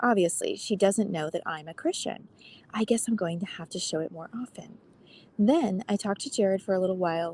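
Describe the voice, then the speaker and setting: A soft-spoken woman talks at a fairly quick pace. Her sound is dry and close, with no echo. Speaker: podcast host. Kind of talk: reading aloud. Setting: outdoors.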